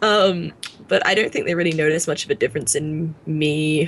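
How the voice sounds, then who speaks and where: A woman at a fairly low pitch and fairly slow pace. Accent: British. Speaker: gaming YouTuber, podcast co-host. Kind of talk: casual chat. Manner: loud.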